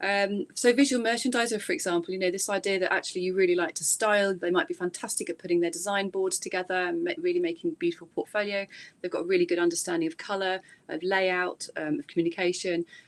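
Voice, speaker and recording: A woman speaks very fast with an English accent. Her pitch is medium, with ordinary variation. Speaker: university lecturer. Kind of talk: presentation. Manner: hesitant, many fillers.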